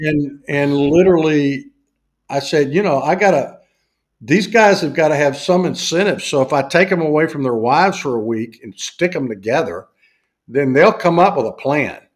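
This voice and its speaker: Someone speaks at a moderate pace with a Southern US accent and ordinary pitch variation. The recording is very clean, with a silent background. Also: man, fairly high pitch for a man. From US South. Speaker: university faculty member and business executive. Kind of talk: casual interview chat.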